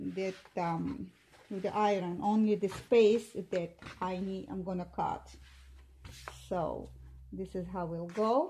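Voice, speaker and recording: A woman with a non-native accent speaks at a very slow pace with long, frequent pauses. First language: not English. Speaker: seamstress. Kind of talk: tutorial. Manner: halting, many fillers.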